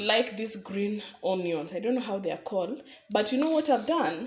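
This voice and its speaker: A woman's voice with very wide pitch swings against noticeable background noise. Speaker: cooking vlogger. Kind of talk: cooking tutorial.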